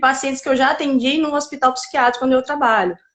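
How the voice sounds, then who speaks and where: A woman is speaking. She has a strong Paraíba accent. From Paraíba, northeastern Brazil. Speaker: psychiatrist. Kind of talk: interview.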